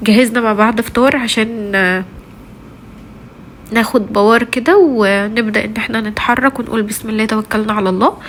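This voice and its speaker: Noticeable background noise sits behind this recording. A woman speaks in an Egyptian accent with fairly even intonation. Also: fairly high pitch for a woman, moderate pace. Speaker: vlogger, mother of three. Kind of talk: casual vlog talk to viewers. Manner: halting, many fillers.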